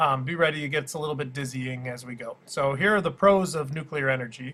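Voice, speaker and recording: This man talks at a very fast pace in a bright, sharp tone. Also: fairly high pitch for a man, ordinary pitch variation, big swings in loudness. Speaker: schoolteacher. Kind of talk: tutorial. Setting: screen recording. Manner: hesitant with many fillers.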